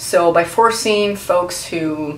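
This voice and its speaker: A woman with a Portuguese accent speaks at a fairly low pitch with ordinary pitch variation. Audible room echo and noticeable background noise fill the recording. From Brazil. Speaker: video blogger. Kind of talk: casual vlog commentary. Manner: hesitant, many fillers.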